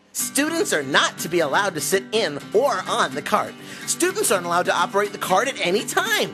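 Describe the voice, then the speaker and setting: Clear music plays in the background as a man does a cartoonish character voice at a fairly quick pace. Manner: eager, goofy.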